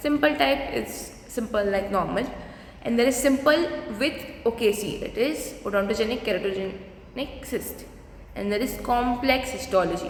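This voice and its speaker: Amid noticeable background noise and audible room echo, a woman with a fairly high pitch speaks at a moderate pace. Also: ordinary pitch variation. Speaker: dentistry lecturer. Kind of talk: lecture.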